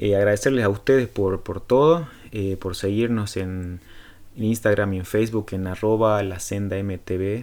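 A man's fairly low voice with an Argentine accent, fairly even in intonation and fairly slow in pace. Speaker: podcast host. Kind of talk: interview; podcast intro/outro. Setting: video call. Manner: halting, many repetitions and fillers.

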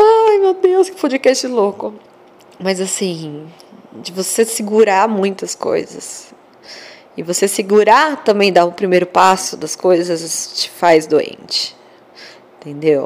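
Very slow and broken by long, frequent pauses, the speech has lively intonation and big swings in loudness. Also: woman, medium pitch for a woman. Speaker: podcaster. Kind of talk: casual monologue. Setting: lying in bed in the dark. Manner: animated.

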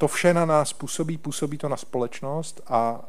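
Fairly slow speech from a man, with ordinary pitch variation and audible room echo. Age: old. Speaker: government envoy for Holocaust issues. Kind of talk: panel discussion with presentation. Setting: hall with live audience, streamed online.

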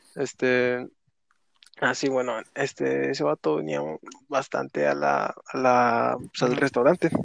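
Taking a fairly slow pace, this man lets his pitch swing very widely. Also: medium pitch for a man. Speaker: podcast co-host. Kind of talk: casual chat.

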